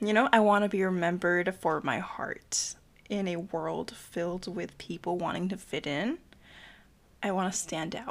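A woman talks at a moderate pace and medium pitch, with ordinary pitch variation. Hers is an unremarkable speaking voice. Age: 20s. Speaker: student, host's childhood best friend. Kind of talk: casual chat.

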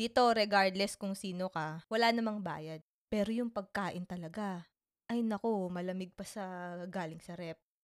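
The sound is dry and close with no echo, and in a very clean recording with a silent background a woman speaks fairly slowly in a plain, everyday voice at a medium pitch with fairly even intonation. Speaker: podcast co-host. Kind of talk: casual chat.

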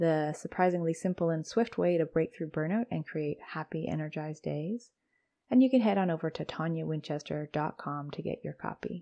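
A woman speaks in a very deep, low voice. Her tone is calm and soothing, with ordinary pitch variation. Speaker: podcast host and coach. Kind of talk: solo podcast episode, casual educational talk. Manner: calm, slow, soothing.

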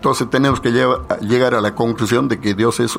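Medium-pitched male speech with ordinary pitch variation at a moderate pace, music playing behind. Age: 80s+. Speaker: leader of a spiritual movement. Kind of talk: radio interview.

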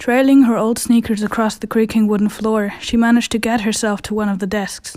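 Over noticeable background noise, a woman speaks at a fairly quick pace. Her fairly high pitch stays monotone and flat. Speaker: audio drama narrator. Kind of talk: dramatic horror-story narration, suspense building. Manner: tense, hushed storytelling pace; frantic overlapping panic in character voices.

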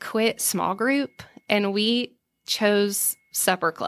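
A woman speaks with a Southern US accent. Her tone is bright and sharp, at a medium pitch. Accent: Southern American. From US South, Savannah, Georgia. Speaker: food entrepreneur. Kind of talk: casual interview.

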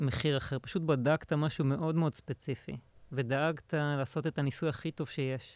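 At a moderate pace, a man with an unremarkable speaking voice and fairly high pitch speaks with fairly even intonation, in a dry, close sound with no echo. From Israel, central. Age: 30s. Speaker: insurance software consultant. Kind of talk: casual interview. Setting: studio.

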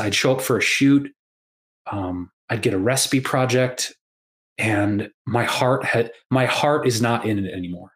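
A man at a medium pitch and fairly slow pace, ordinary pitch variation, an unremarkable speaking voice. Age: 40s. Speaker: podcast host and health coach. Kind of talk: casual chat.

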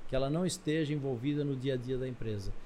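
With an Italian accent, a man talks at a moderate pace. His voice is fairly high-pitched and somewhat breathy. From Brazil, Italian family. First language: Italian (speaking Portuguese). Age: middle-aged. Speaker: business mentor and entrepreneur. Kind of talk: interview.

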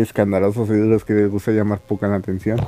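Noticeable background noise accompanies a man speaking in a fairly low pitch. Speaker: anime podcaster. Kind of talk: casual monologue. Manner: halting, with frequent repetitions.

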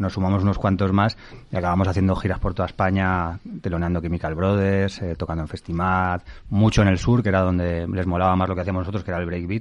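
Against a quiet background, a man with a very deep, low pitch talks at a very fast pace in a monotone, flat intonation. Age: 40s. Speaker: writer and former musician. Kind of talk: casual chat. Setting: studio.

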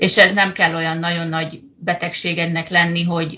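Here a woman's voice sits at a fairly low pitch. She speaks at a moderate pace. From Hungary. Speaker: project manager in healthcare, emigrant. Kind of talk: interview.

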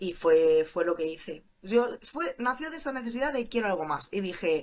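A woman speaks at a moderate pace and a fairly high pitch in an animated tone, with very wide pitch swings. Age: 20s. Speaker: criminologist turned cybersecurity junior. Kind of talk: interview.

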